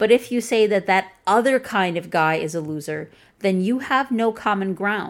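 A woman with a Chicago accent talks at a moderate pace on a very clean recording with a silent background. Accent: Chicago, flat Midwestern American. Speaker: author reading her own article. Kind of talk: reading aloud, article narration.

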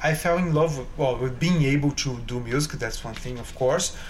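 With a Portuguese accent, a man speaks at a moderate pace in a room with audible echo. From Brazil, São Paulo state. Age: young. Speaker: concert pianist. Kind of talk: interview. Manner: halting.

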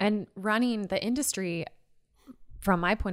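A woman talks at a fairly slow pace in a normal speaking voice with ordinary pitch variation. The recording is very clean, with a silent background. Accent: American. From Seattle area, US. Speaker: podcast co-host. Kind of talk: interview.

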